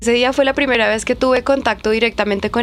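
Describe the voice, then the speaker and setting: A woman uses an ordinary speaking voice, fairly high in pitch with ordinary pitch variation. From Colombia, Bogotá (Ciudad Bolívar). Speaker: DJ. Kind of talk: interview.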